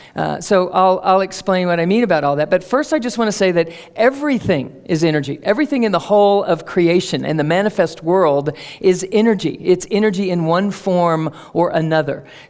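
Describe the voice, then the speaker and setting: Noticeable background noise behind a woman's lively, medium-pitched voice. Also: fairly quick pace. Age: 50s. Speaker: speaker on energy medicine. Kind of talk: public talk. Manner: conversational, with fillers.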